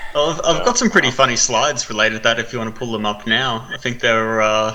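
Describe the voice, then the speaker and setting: Over noticeable background noise, someone with an Australian accent speaks at a very fast pace with fairly even intonation. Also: man, medium pitch for a man. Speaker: gaming news presenter. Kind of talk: casual chat.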